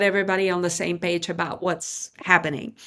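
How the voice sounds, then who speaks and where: On a very clean recording with a silent background, a woman speaks in a non-native accent. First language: not English. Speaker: podcast host. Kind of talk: podcast interview.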